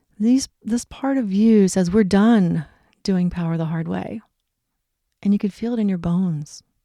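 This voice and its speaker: At a moderate pace and medium pitch, a woman with a plain, everyday voice speaks with ordinary pitch variation. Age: 60s. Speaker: wellness coach. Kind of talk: casual talk.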